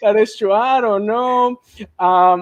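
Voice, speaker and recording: The speaker has a Mexican accent and ordinary pitch variation, heard in a dry, close sound with no echo. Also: man. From Mexico. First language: Spanish. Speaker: school administrator, dual language advocate. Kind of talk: live-streamed casual conversation.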